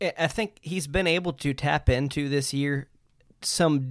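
A man with a normal speaking voice speaks in a fairly high pitch with ordinary pitch variation. The recording is very clean, with a silent background. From Nashville then Detroit, Michigan. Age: 30s. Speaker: hockey fan guest. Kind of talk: casual chat.

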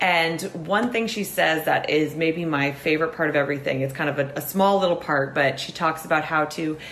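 With noticeable background noise behind her, a woman speaks at a moderate pace in a very deep, low pitch, with ordinary pitch variation. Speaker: podcast host. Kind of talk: casual interview chat.

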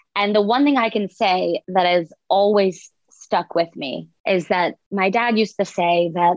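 In an ordinary speaking voice, a woman with an American accent talks at a medium pitch and fairly slow pace, with ordinary pitch variation. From US South. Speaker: author. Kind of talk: interview.

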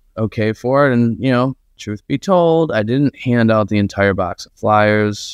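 A man with an American accent speaks at a medium pitch and a fairly slow pace, in an unremarkable speaking voice with ordinary pitch variation, the sound dry and close with no echo over a quiet background. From Buffalo, New York. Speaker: marketing agency owner. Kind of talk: podcast interview. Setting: video call.

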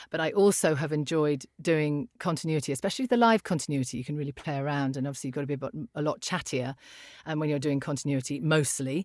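On a very clean recording with a silent background, a woman with a British accent speaks at a very fast pace in a very deep, low pitch, with ordinary pitch variation. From UK. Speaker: voiceover artist. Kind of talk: casual interview.

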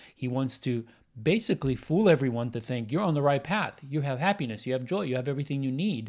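In a very clean recording with a silent background, a man talks at a very fast pace. His pitch is fairly high and his intonation lively. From Romania. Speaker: podcast host. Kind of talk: casual chat.

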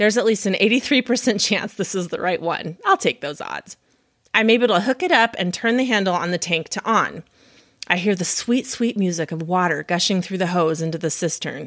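In a plain, everyday voice with an American accent, the speaker talks at a moderate pace. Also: woman, dry, close sound with no echo. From Montana, US. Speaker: podcast host. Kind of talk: casual interview chat.

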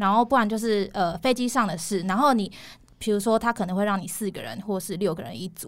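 A woman talks at a very fast pace with medium pitch and ordinary pitch variation. Her loudness swings widely, and the recording is very clean with a silent background. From Taiwan. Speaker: former flight attendant now in tech sales. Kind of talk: casual interview chat.

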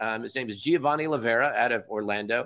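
A man with a West Coast US accent speaks fairly quickly. His tone is bright and sharp. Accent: General American (West Coast). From Southern California, Orange County. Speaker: meeting emcee and business speaker. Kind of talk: casual interview chat. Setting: remote call.

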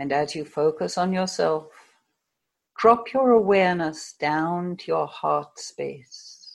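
Against a quiet background, a woman with an American accent talks at a very slow pace, her loudness swinging widely. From United States. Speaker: hypnotherapist. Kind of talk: guided hypnosis session, guided meditation. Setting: video call.

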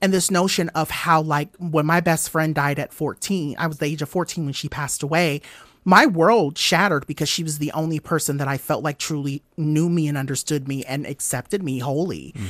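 A man with an American accent, fairly even intonation and hardly any pauses, on a very clean recording with a silent background and a dry, close sound free of echo. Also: moderate pace. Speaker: educator sharing personal story. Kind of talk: interview, personal testimony.

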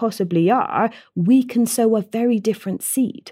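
With a Bristol accent, a woman speaks at a moderate pace in a fairly high pitch, somewhat breathy and dark, mellow in tone, with ordinary pitch variation. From Bristol, south-west England. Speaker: teacher and TEDx speaker. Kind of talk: interview.

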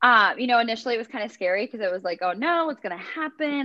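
Spoken with an American accent, the voice races along at a very fast pace with lively intonation. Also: woman. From US Midwest, rural Minnesota. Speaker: fitness instructor and content creator. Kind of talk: interview.

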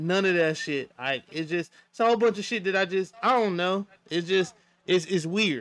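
Speaking at a moderate pace, a man has a high pitch and ordinary pitch variation. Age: 30s. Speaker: podcast co-host. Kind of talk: casual chat.

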